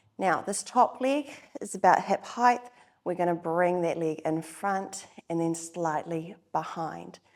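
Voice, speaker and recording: In a plain, everyday voice, a woman speaks at a fairly slow pace with a fairly low pitch and ordinary pitch variation. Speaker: Pilates instructor. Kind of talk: guided workout instruction. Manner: calm, encouraging.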